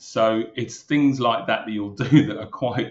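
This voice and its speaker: Here a man speaks with a Brummie accent. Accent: Brummie (Birmingham English). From Birmingham, England. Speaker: retired police superintendent. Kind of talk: interview.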